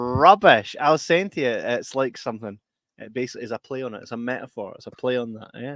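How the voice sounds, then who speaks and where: A man's very fast speech in a Scottish accent, medium in pitch with ordinary pitch variation, the sound dry and close with no echo. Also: big swings in loudness. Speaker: podcast host. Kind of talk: casual chat. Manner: stutters at times.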